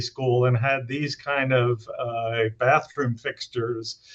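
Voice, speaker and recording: A man speaks with a medium pitch and fairly even intonation. His voice is somewhat breathy. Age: 60s. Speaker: economic impact analyst. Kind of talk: webinar discussion. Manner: hesitant, many fillers.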